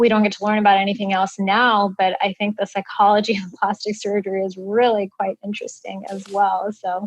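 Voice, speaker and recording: Recorded dry and close with no echo, a woman speaks at medium pitch and a moderate pace with an American accent. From US Midwest. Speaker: plastic surgery resident. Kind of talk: interview.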